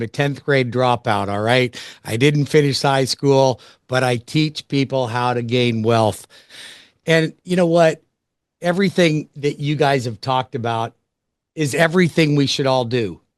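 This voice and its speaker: A man speaks in a normal speaking voice at medium pitch and a moderate pace, with ordinary pitch variation, in a dry, close sound with no echo over a quiet background. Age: 60s. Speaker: business wealth coach. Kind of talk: webinar panel talk. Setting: live webinar.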